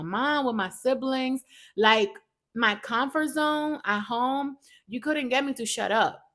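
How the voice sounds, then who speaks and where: A woman with a non-native accent speaks fairly slowly in an animated tone, on a very clean recording with a silent background. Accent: foreign accent, self-noted. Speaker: podcast host. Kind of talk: casual chat.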